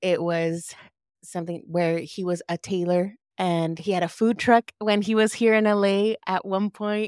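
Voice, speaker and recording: With an American accent and an ordinary speaking voice, a woman talks at a fairly slow pace and medium pitch with fairly even intonation, the sound dry and close with no echo, the recording very clean over a silent background. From Los Angeles, US (Lynwood, South LA). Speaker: entrepreneur and photographer. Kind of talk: interview conversation.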